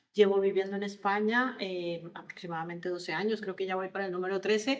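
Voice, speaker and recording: In a Colombian accent, a woman talks at a fairly quick pace. Her pitch is medium and her intonation fairly even. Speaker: HR consultant on generational diversity. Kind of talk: podcast interview.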